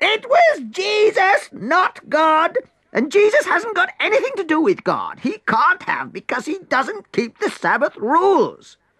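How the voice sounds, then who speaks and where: A put-on character voice with extremely high pitch, at a fairly slow pace with hardly any pauses. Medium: read story. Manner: prim, affected.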